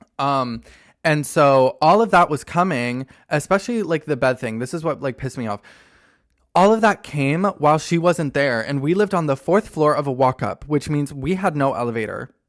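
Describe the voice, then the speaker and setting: A man with an unremarkable speaking voice, fairly high in pitch, at a moderate pace in a very clean recording with a silent background. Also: lively intonation. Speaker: podcaster. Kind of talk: casual talk to camera.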